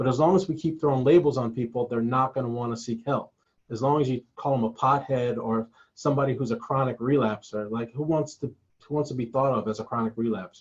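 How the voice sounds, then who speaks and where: A man talks at a fairly quick pace and medium pitch with ordinary pitch variation. His voice is somewhat breathy. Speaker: collegiate recovery program staff. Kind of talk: webinar presentation. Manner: fast.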